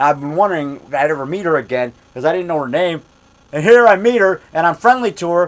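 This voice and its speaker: The speaker is loud and animated, going at a very fast pace. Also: man, high pitch for a man, lively intonation. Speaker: independent monster movie maker and actor. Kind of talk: casual vlog monologue. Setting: indoors at home.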